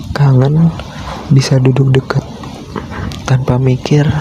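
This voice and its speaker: Noticeable background noise sits behind a man speaking at a very slow pace. His medium-pitched voice stays monotone, with flat intonation. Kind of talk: ASMR boyfriend roleplay sleep call. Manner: slow, intimate.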